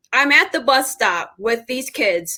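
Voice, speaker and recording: The voice is raised and projected, with a bright, sharp tone. It carries an American accent. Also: woman. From Indianapolis, US Midwest. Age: 30s. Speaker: podcast host, educator. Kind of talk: interview podcast. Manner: casual, conversational.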